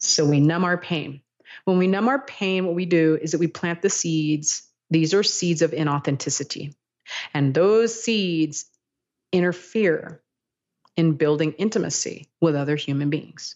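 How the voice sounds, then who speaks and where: A woman speaks at a fairly slow pace with a plain, everyday voice. Her pitch is fairly low, with ordinary variation. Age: 40s. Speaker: therapist. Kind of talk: interview.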